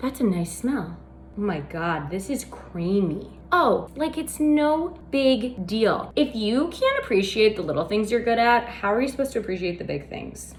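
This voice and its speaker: Her pitch fairly high, a woman speaks in an animated tone with very wide pitch swings. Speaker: baking show host. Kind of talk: casual tutorial. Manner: fast.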